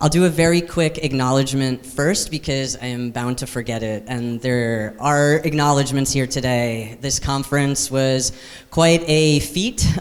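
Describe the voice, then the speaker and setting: Noticeable background noise sits behind a man's medium-pitched voice. His pitch varies in an ordinary way, and he hardly pauses at all. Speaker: director of a labor advocacy group, conference host. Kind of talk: conference opening remarks. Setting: conference hall with live audience. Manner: fast.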